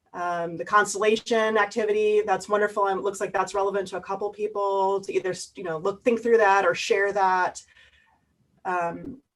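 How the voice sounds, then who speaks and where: A woman's medium-pitched voice holds a monotone, flat intonation. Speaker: workshop presenter. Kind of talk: online workshop wrap-up. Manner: fast.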